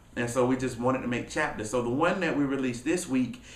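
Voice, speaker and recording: Amid audible room echo, a man with a medium pitch speaks at a fairly quick pace in an energetic tone. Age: 20s. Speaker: motivational speaker and author. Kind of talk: casual vlog talk to camera. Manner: fast.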